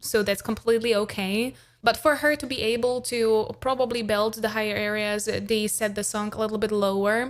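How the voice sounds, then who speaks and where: Hardly pausing, a woman talks at a moderate pace with fairly even intonation and a fairly high pitch. The recording is very clean, with a silent background. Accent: non-native. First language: not English. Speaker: vocal coach and singer. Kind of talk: reaction commentary. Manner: casual, with hesitations.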